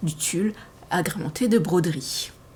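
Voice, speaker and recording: Noticeable background noise runs behind a woman's voice. She speaks at a very slow pace with lively intonation. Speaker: sewing hobbyist vlogger. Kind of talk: casual podcast monologue, partly reading notes. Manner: hesitant, many fillers.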